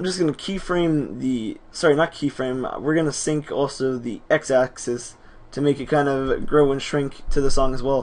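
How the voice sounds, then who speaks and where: This man has an unremarkable speaking voice, pitched fairly high, with fairly even intonation at a moderate pace. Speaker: video editing tutorial maker. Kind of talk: tutorial. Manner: casual, self-correcting.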